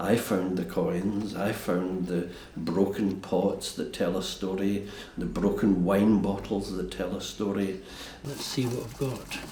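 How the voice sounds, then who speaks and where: Over noticeable background noise, a man with a Scottish accent talks at a fairly slow pace in a fairly low pitch. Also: ordinary pitch variation. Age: 70s. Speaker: castle restorer. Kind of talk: documentary interview answer.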